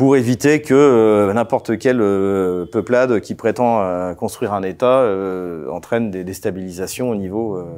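The man's dark, mellow tone moves at a moderate pace with ordinary pitch variation. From France, Champagne; France. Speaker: political analyst. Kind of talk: interview. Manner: hesitant, many fillers. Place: studio. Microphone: lapel.

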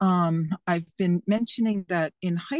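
A woman speaks at a very slow pace in a fairly low voice with ordinary pitch variation, the sound dry and close with no echo over a quiet background. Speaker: county legislature candidate. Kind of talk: candidate forum discussion. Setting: video call. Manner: animated.

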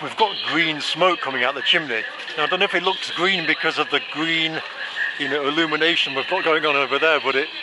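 A man talks at a fairly quick pace with ordinary pitch variation. Loud background noise fills the dry recording, which has no echo. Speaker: travel vlogger. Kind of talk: casual vlog chat. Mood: playful, joking. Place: street. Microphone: phone near.

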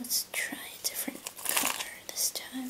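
She whispers. Her pace is very slow. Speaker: ASMR creator. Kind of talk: ASMR whisper video. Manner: whispered, soft-spoken; soothing. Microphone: studio mic.

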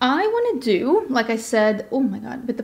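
A woman at a fairly slow pace, with very wide pitch swings. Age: 30s. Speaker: beauty YouTuber. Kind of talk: makeup tutorial. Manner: animated. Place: home room.

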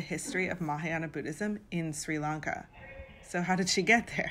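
Over music in the background, a woman with a fairly low pitch speaks at a moderate pace in an enthusiastic tone with lively intonation. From Vancouver, Canada. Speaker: tour guide. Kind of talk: guided tour narration to camera. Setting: outdoors and inside a museum, video. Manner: enthusiastic, friendly.

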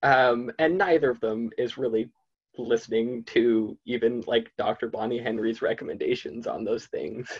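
At a moderate pace, a man talks in a medium pitch with fairly even intonation and a slightly husky edge.

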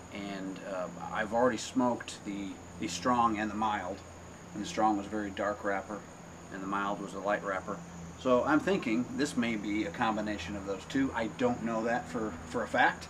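Against noticeable background noise, a man talks at a fairly low pitch. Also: ordinary pitch variation, moderate pace. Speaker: cigar reviewer, channel host. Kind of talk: casual review chat. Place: home room. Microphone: camera far.

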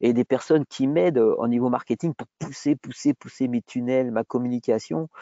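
The recording has a dry sound with no echo and a quiet background. A man talks with ordinary pitch variation. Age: 50s. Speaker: entrepreneur, former gym owner; guest. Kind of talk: webinar interview.

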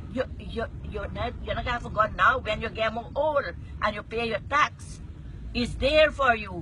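A woman speaks with a Guyanese accent at a moderate pace. The sound is dry with no echo, over light background noise. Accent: Guyanese Creole. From Guyana. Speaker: passenger talking to the driver. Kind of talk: casual conversation. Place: car. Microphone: phone near.

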